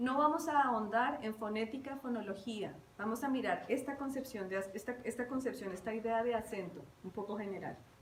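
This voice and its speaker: A woman at a fairly quick pace, lively in intonation, with audible room echo and noticeable background noise. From Bogotá, Colombia. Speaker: university lecturer. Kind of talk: lecture.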